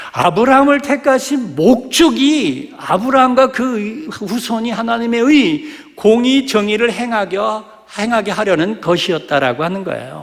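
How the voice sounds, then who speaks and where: Here a man talks at a fairly slow pace. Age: 60s. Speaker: pastor. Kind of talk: sermon. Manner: animated.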